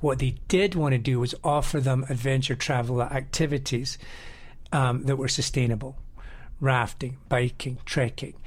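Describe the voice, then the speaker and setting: A somewhat breathy man with a Scottish accent, fairly even intonation and very even loudness, in audible room echo. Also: medium pitch for a man, moderate pace. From Scotland, Edinburgh. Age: 50s. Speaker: river guide and adventure travel operator. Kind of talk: interview.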